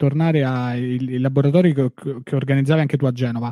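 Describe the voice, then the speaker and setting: A man's dark, mellow tone at a fairly high pitch, dry and close with no echo. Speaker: podcast host. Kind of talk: casual chat. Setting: video call.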